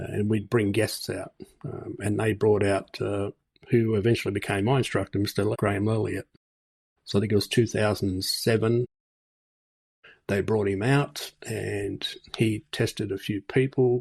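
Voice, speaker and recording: On a very clean recording with a silent background, a man with an Australian accent speaks at a moderate pace in a fairly low, somewhat breathy voice, his intonation monotone and flat, with long, frequent pauses. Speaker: martial arts instructor and podcast host. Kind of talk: interview conversation.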